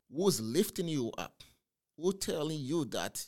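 This man talks at a fairly slow pace in a fairly high pitch. His pitch swings very widely. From northern Togo, West Africa. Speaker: entrepreneur and coach. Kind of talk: interview podcast. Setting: studio.

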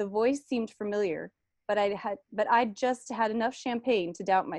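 The background stays quiet. Over it comes reading aloud in a natural voice.

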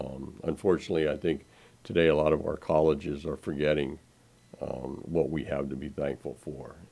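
This man has a very deep, low voice with a dark, mellow tone. He speaks with vocal fry and monotone, flat intonation. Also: moderate pace. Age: 70s. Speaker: radio co-host. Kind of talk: casual radio talk show chat.

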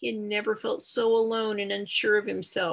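The speaker uses a natural reading voice. It is a natural reading voice throughout.

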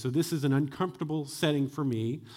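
In an ordinary speaking voice, a man talks fairly quickly at a fairly high pitch with ordinary pitch variation. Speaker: executive pastor. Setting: church.

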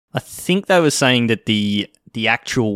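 A man with an Australian accent speaks at a fairly slow pace. The sound is dry and close, with no echo. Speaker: podcast host. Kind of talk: casual chat.

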